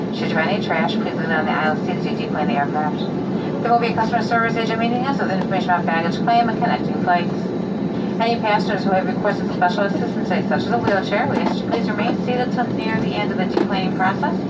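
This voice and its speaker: A woman talking very fast over loud background noise. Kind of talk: in-flight PA announcement. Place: plane. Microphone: pa.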